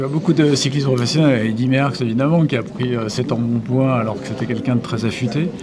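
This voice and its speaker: Very fast speech with hardly any pauses and ordinary pitch variation, amid audible room echo and noticeable background noise. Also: man, medium pitch for a man. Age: 70s. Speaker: radio interviewer. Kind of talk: interview.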